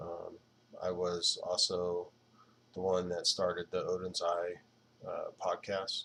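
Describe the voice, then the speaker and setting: Quietly, a man talks at a very slow pace with long, frequent pauses. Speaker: video blogger. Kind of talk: casual monologue. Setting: at home at night. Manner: quiet, low voice; hesitant, many fillers.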